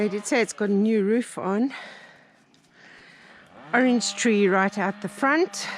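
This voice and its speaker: Long, frequent pauses mark this woman's speech against noticeable background noise. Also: medium pitch for a woman, ordinary pitch variation. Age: 60s. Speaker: off-grid homesteader. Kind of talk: casual walk-through narration to camera.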